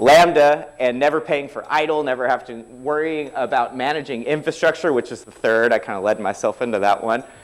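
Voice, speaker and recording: At a moderate pace, a man talks with lively intonation and a fairly high pitch. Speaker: tech conference speaker. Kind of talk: technical talk. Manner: informal.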